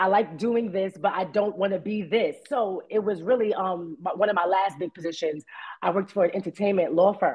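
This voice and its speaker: A woman with a medium-pitched voice talks at a fairly quick pace in an animated tone, her pitch varying in an ordinary way. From New York, the Bronx. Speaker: actress. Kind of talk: interview.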